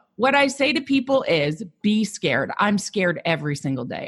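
Over a quiet background, a somewhat breathy woman talks at a moderate pace with very wide pitch swings. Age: 40s. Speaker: psychotherapist turned coach. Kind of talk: podcast interview.

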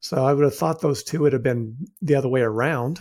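A man with a somewhat breathy, fairly high voice and ordinary pitch variation, recorded very cleanly against a silent background. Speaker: financial advisor radio host. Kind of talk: radio host patter, steady on-air financial commentary with explanations of interest rates. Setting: studio. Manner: conversational and plain-spoken, with frequent 'uh' fillers; measured, explanatory, reassuring.

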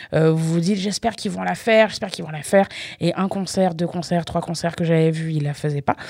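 The tone is dark and mellow, at a fairly quick pace. Pitch varies in an ordinary way. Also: woman. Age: 30s. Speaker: radio host. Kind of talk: music radio show presenting. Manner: casual, chatty.

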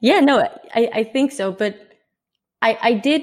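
A woman speaks in a Dutch accent with ordinary pitch variation. The recording is very clean, with a silent background. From Netherlands. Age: 20s. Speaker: traveller and blogger. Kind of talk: casual interview.

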